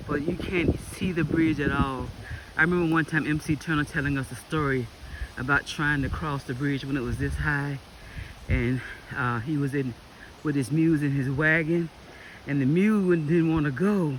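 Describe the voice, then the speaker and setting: The speaker has a Southern US accent and a moderate pace. Long, frequent pauses break up the speech. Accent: Southern US (Georgia). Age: 60s. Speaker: local resident filming storm damage. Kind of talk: casual vlog narration. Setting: outdoors. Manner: animated.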